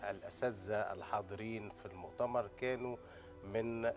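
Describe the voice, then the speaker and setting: Faint music plays in the background. A man with a fairly low pitch talks at a moderate pace. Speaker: guest. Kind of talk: interview answer. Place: studio. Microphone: lapel.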